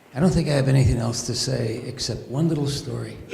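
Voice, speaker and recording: Over noticeable background noise and audible room echo, a man talks at a fairly quick pace with a medium pitch and fairly even intonation. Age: 70s. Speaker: physician volunteer at charity event. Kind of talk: speech at fundraiser.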